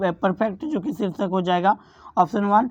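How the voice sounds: At a fairly quick pace, a woman speaks with a slightly mellow tone.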